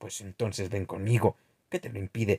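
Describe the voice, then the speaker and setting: A man puts on a raspy character voice with a fairly low pitch. He goes at a moderate pace in a dry, close sound with no echo. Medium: read story. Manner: flat, subdued.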